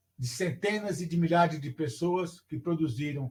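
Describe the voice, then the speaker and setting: A man speaks at a moderate pace. His pitch sits high. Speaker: teacher educator giving a lecture. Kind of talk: online lecture.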